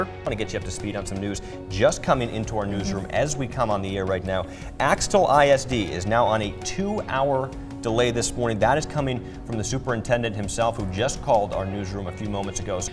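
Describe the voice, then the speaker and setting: Music plays behind a man with an American accent. He speaks very fast at a fairly low pitch with ordinary pitch variation. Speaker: news anchor and reporter; morning news anchor. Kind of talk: TV news anchor delivery.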